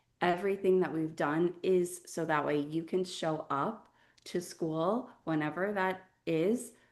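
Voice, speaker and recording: In a quiet background, a woman speaks with an unremarkable speaking voice, a fairly low pitch and fairly even intonation. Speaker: webinar host. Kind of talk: event introduction.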